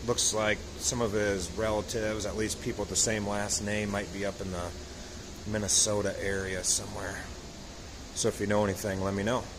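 Monotone, flat intonation at a fairly quick pace over noticeable background noise. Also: man. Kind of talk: casual show-and-tell commentary. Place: garage. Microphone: phone near.

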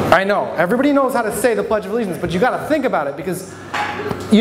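A man with an American accent speaks with lively intonation over light background noise. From Michigan (Flint); Michigan. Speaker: stand-up comedian and local newspaper reporter; stand-up comedian, local newspaper reporter. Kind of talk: stand-up. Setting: stage with audience at a brewery. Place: bar. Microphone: handheld.

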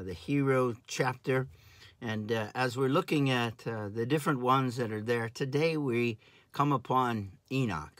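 A man speaks at a fairly slow pace with ordinary pitch variation. The sound is dry with no echo, and the background is quiet. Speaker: pastor or Bible teacher. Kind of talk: sermon. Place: home room. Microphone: phone near.

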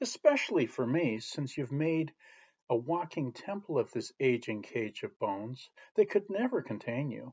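Very wide pitch swings run through a man's speech at a fairly slow pace. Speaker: poet. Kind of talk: poetry reading, spoken-word verse. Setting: virtual chapel service video. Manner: measured, contemplative.

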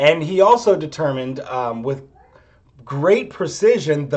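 His intonation moves in a lively way. The speaker is a man. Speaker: chemistry instructor. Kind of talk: lecture. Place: home room. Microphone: webcam.

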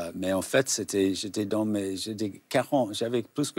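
Against a quiet background, a man with an English accent talks at a very slow pace, fairly low in pitch and fairly even in intonation. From United States. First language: English (speaking French). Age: 70s. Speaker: novelist; guest. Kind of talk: interview. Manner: halting. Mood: calm, reflective. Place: studio. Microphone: lapel.

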